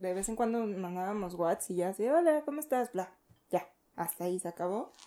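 A woman's dark, mellow voice with lively intonation at a moderate pace. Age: young. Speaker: podcast co-host. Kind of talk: casual chat.

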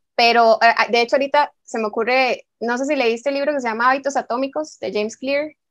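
In a Costa Rican accent, a woman talks very fast at a high pitch with fairly even intonation, the sound dry and close with no echo. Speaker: podcast host. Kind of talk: casual chat.

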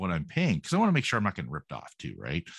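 A man's voice shows vocal fry and very wide pitch swings. The sound is dry and close with no echo, over a quiet background. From Canada. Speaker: podcast host. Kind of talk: casual interview chat.

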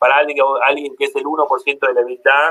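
A man speaks at a moderate pace. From Argentina. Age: 40s. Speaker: economist. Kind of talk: interview.

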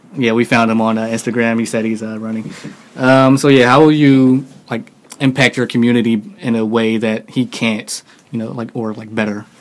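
Over noticeable background noise, a man with an American accent talks at a moderate pace, his medium-pitched voice keeping a fairly even intonation. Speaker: podcast host. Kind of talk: casual chat.

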